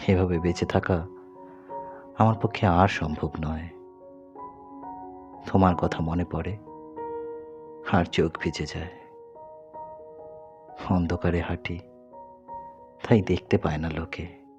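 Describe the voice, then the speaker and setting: Music plays in the background as a man speaks with a very deep, low pitch. His intonation stays fairly even. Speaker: poet. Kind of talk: poetry reading.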